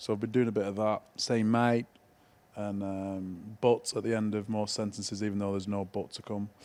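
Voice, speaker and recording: With a strong Greater Manchester accent, a man speaks at a moderate pace in a fairly low, dark, mellow voice with monotone, flat intonation on a very clean recording with a silent background. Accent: strong Oldham. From northern England, Oldham. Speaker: podcast co-host, former rugby league player. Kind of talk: casual chat.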